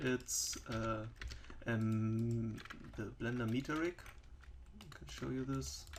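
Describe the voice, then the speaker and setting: In a German accent, a man talks at a very slow pace with medium pitch and long, frequent pauses. His pitch swings very widely, and audible room echo surrounds him. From Germany. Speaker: 3D software developer and tutorial maker. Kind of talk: tutorial. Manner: halting, many fillers.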